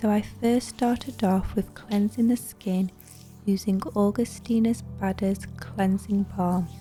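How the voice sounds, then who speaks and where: Music plays in the background as a soft-spoken voice comes through with a calm tone. The pace is very slow. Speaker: beauty therapist. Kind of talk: facial massage tutorial narration. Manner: soft-spoken, calm.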